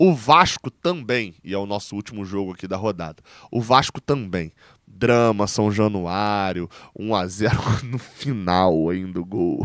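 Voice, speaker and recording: A man's fairly low voice at a very slow pace, with ordinary pitch variation, a dry sound with no echo, and a quiet background. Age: 20s. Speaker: sports journalist and fan channel host; sports journalist, fan channel host. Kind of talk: football round-up commentary. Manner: casual, conversational. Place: home room.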